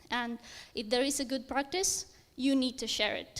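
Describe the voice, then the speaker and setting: On a very clean recording with a silent background, a high-pitched woman speaks with fairly even intonation in a Romanian accent. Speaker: software engineer. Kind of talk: conference talk.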